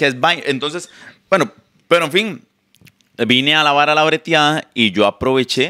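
Long, frequent pauses break up this man's speech, which has a bright, sharp tone and a fairly high pitch. His loudness is very even, his pitch varies in an ordinary way, and the background is quiet. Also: moderate pace. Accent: Costa Rican. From Costa Rica. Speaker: content creator. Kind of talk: casual chat. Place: home room. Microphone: handheld.

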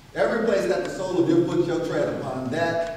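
A man speaks with lively intonation amid strong room echo. Light background noise is present. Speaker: preacher. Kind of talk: scripture reading in a sermon. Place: church. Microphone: podium.

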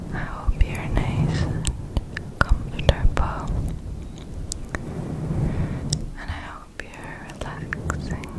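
A woman's gentle, soothing whisper, very slow, with long and frequent pauses. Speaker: ASMR creator. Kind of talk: soft-spoken ASMR chat. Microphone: studio mic.

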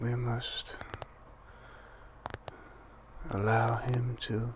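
A soft-spoken man talks very slowly in a monotone with flat intonation. Noticeable background noise is present. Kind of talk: ASMR role-play. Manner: soft, hushed ASMR speaking voice.

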